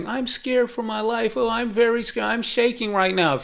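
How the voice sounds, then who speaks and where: Over noticeable background noise, a put-on character voice runs fairly high in pitch at a fairly quick pace. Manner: mocking fake whimpering.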